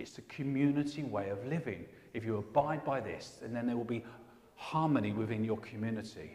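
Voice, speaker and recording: With an English accent, the speaker talks at a fairly quick pace with ordinary pitch variation and audible room echo. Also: man, medium pitch for a man. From England. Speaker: pastor. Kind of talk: sermon.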